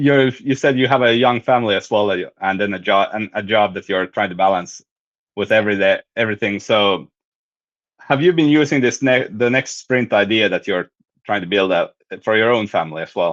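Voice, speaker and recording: The man's pitch is medium and varies in an ordinary way. He talks at a fairly quick pace. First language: Finnish or Swedish. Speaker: writer and host. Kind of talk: casual chat. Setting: live stream. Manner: halting.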